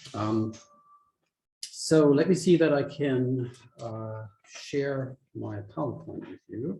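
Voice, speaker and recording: A man with a German accent at medium pitch, dark and mellow in tone and somewhat breathy, with ordinary pitch variation, big swings in loudness, a very slow pace, and long, frequent pauses. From Germany. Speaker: philosophy professor. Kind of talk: academic lecture. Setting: hybrid lecture, online and in person. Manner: halting, many fillers.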